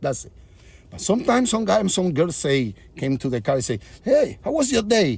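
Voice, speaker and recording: A man with a Spanish accent, high-pitched, his pitch swinging very widely, at a moderate pace. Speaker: comedian and musician. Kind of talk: casual vlog monologue. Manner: halting.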